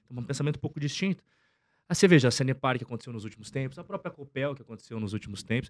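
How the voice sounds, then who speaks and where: The speech runs at a very fast pace with lively intonation. The background is quiet. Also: man. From Curitiba, Paraná, southern Brazil; Paraná, Brazil. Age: 30s. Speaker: investor and finance content creator; finance content creator. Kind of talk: casual interview chat. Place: studio. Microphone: studio mic.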